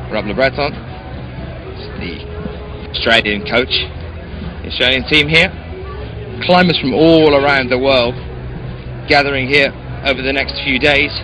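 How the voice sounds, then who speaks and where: The speaker has a British accent, ordinary pitch variation and a moderate pace. Long, frequent pauses break up the speech, and there is noticeable background noise. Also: man, medium pitch for a man. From Britain. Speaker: live stream commentator and interviewer. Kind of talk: live event commentary and interview. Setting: competition venue, live web stream.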